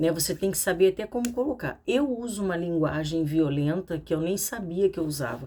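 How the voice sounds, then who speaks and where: Soft-spoken, with a dark, mellow tone, a woman talks at a fairly quick pace with lively intonation and hardly any pauses. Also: fairly low pitch for a woman. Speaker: psychoanalyst and therapist. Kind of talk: casual educational talk to camera. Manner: speaking softly.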